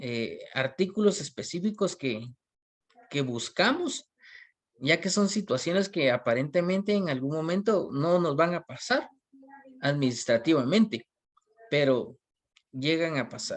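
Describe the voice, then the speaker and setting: A man's fairly high voice with lively intonation, a fairly slow pace, and long, frequent pauses. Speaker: university lecturer. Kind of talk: online class lecture. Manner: hesitant, many fillers.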